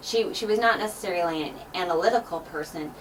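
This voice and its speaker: Talking at a very fast pace, a woman with a fairly low voice uses ordinary pitch variation amid noticeable background noise and audible room echo. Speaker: math instructor. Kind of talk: casual interview. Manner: loud.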